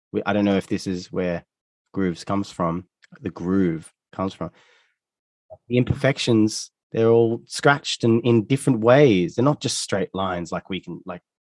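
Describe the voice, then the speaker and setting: Moderate pace from a man with an Australian accent, fairly low pitch and ordinary pitch variation, in a dry, close sound with no echo. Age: 30s. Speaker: musician. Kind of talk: interview conversation. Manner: halting, many self-corrections.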